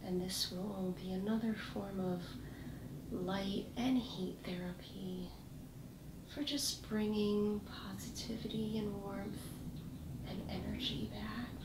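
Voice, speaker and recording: A soft-spoken woman talks at a very slow pace with long, frequent pauses. Noticeable background noise is in the recording. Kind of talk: soft-spoken role-play to the viewer. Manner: soft, hushed ASMR voice. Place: home room.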